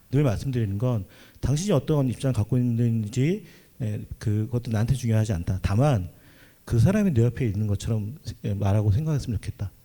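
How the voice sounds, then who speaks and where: At a fairly quick pace, a man speaks at a medium pitch, somewhat breathy, with ordinary pitch variation. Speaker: panelist, religious worker and committee member. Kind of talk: panel discussion. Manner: fast.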